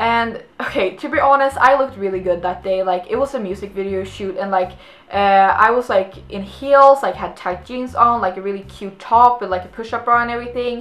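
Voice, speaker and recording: A woman speaks at a fairly quick pace with hardly any pauses, her medium pitch moving with ordinary variation, in a slight Swedish accent over noticeable background noise. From Sweden. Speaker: actress and vlogger. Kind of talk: story time vlog. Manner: casual, many fillers and restarts.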